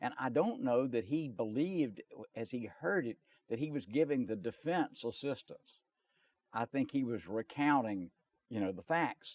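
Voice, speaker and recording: Lively intonation marks a man's fairly slow delivery, recorded with a dry, close sound and no echo. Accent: Southern US. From North and South Carolina. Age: 70s. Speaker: lawyer. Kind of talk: interview.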